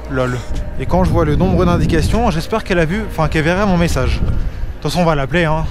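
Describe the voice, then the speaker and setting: A man speaks at a very fast pace with lively intonation and a fairly high pitch. Noticeable background noise and audible room echo fill the recording. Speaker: food delivery courier vlogger. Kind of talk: casual vlog commentary while riding. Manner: hesitant, many fillers.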